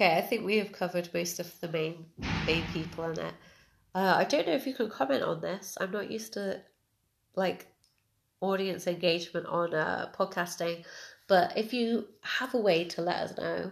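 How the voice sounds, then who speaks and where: A woman speaks with vocal fry. Her pitch is fairly low, with ordinary pitch variation. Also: moderate pace. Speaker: podcast host. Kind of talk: casual chat.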